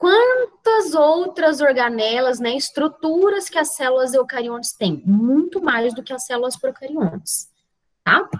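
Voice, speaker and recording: A woman with a high voice talks at a fairly slow pace, her pitch swinging very widely. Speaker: biology teacher. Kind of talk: lecture.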